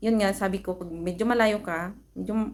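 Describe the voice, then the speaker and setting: Speaking at a fairly slow pace, a woman has a medium pitch. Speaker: vlogger, overseas Filipino worker. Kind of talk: product review vlog. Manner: soft-spoken; casual.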